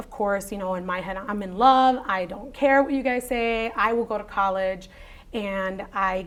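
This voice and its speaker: A woman speaks at medium pitch. Her pitch variation is ordinary. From Aurora, Illinois, US Midwest. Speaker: oral history interviewee. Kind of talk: interview. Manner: casual, code-switching with Spanish.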